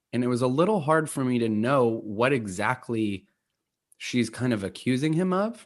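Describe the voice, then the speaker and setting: In a plain, everyday voice, a man of medium pitch speaks at a moderate pace with lively intonation and very even loudness. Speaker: podcast guest. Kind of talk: casual chat.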